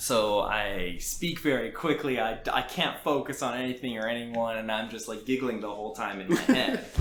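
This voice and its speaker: Over noticeable background noise, a man with a Canadian accent speaks at a medium pitch with ordinary pitch variation and hardly any pauses. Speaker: indie game developer. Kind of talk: podcast interview. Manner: fast; hesitant, repeats words.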